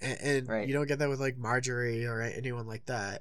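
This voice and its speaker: A man speaks at a moderate pace, his pitch medium and his intonation fairly even. It is an ordinary speaking voice. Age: 20s. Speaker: podcast co-host. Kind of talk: casual chat.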